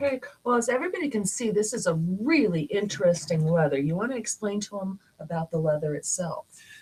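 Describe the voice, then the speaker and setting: Over noticeable background noise, a woman speaks very fast at a medium pitch with very wide pitch swings. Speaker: talk show host. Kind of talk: live talk show hosting.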